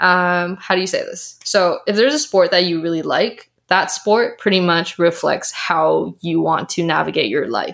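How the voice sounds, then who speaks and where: With a Canadian accent, a woman speaks at a medium pitch in an animated tone and at a fairly slow pace. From Canada. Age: 20s. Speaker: health coach. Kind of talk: casual chat. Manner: animated, laughs often.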